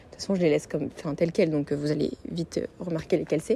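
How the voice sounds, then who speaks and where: A woman speaks in a fairly low voice with a dark, mellow tone and fairly even intonation. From Paris, France. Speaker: podcaster. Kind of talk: casual solo podcast monologue. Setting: recording at a friend's home in Lille. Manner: hesitant, many fillers.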